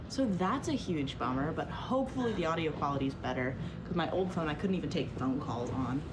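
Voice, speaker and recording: A woman's very deep, low voice in an American accent, fairly quick, with very wide pitch swings, very even loudness, audible room echo and noticeable background noise. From New Jersey. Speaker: vlogger. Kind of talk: video diary. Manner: casual, chatty. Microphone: phone's built-in mic, small mic no longer works.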